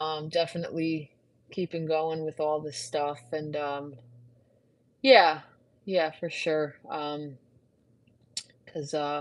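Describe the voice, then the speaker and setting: Speaking very slowly, a woman uses a very deep, low voice. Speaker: fitness instructor. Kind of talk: casual live stream chat. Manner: monotone; halting, many fillers.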